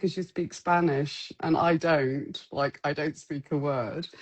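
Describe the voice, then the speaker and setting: Here a woman talks. She has a southern English accent. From southwest England. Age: 50s. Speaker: street photographer. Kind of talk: casual chat. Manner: halting.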